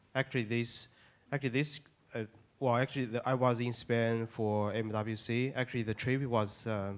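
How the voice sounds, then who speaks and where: Monotone, flat intonation marks this man's medium-pitched delivery at a moderate pace. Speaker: panelist, journalist. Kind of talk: panel discussion.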